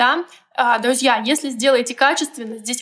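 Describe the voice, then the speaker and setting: A woman's high voice at a fairly slow pace. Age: 20s. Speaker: financial coach. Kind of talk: interview; guided exercise.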